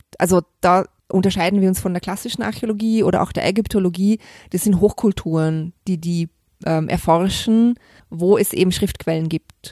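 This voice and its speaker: Her voice medium in pitch with a dark, mellow tone, a woman speaks at a moderate pace in a very clean recording with a silent background, dry and close with no echo. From Vorarlberg, western Austria. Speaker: crime novelist. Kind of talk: interview. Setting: hotel.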